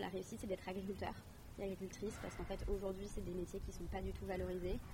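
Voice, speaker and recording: Both noticeable background noise and audible room echo accompany a woman's voice. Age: 20s. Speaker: climate activist and cooperation trainer. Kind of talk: interview. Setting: outdoor courtyard.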